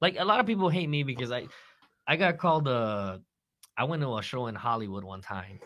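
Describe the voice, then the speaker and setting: The tone is bright and sharp, with an American accent. Pitch moves in very wide swings. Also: man, medium pitch for a man, fairly quick pace. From East Los Angeles, California. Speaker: stand-up comedian. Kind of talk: casual podcast chat. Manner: animated.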